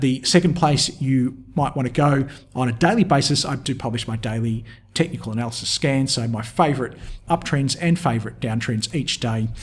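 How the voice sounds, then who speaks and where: A man with an Australian accent speaks at a fairly quick pace in a medium pitch. His voice is somewhat breathy, with ordinary pitch variation. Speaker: market technical analyst. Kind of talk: tutorial. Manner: casual with frequent fillers.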